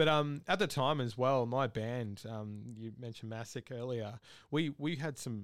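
A man talks with an Australian accent at a moderate pace. His pitch varies in an ordinary way. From Australia, Victoria. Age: 30s. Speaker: metal band vocalist. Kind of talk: casual interview. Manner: halting, many fillers.

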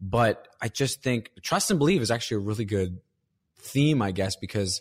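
At a moderate pace, a man with lively intonation has an ordinary speaking voice, recorded dry and close with no echo in a very clean recording with a silent background. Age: 30s. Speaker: comedian.

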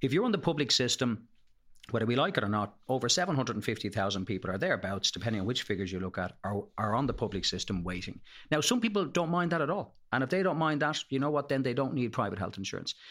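With an Irish accent, a man talks very fast at a medium pitch with very wide pitch swings, on a very clean recording with a silent background. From Ireland, Leinster. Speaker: health insurance expert. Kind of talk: podcast interview.

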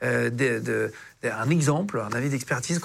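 A man's fairly high voice, ordinary pitch variation, and vocal fry. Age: 30s. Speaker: podcast host. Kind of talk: interview.

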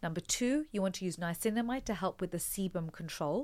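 A woman speaks at a fairly quick pace in a plain, everyday voice, with medium pitch and lively intonation. The recording is very clean, with a silent background. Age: 40s. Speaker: doctor and cosmetic formulator. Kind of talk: casual chat.

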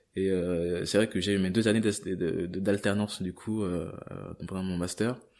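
Against a quiet background, a man speaks fairly slowly in a very deep, low pitch with monotone, flat intonation. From grew up partly abroad, in France from age 8. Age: 20s. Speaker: corporate employee leaving job to travel. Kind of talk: interview testimony. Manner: halting, many repetitions and fillers.

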